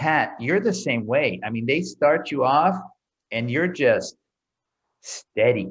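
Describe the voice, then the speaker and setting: Very slowly and with long, frequent pauses, a man with an American accent speaks at a fairly high pitch, using vocal fry and very wide pitch swings. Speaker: interview host, open water swimming. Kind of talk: casual interview. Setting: video call.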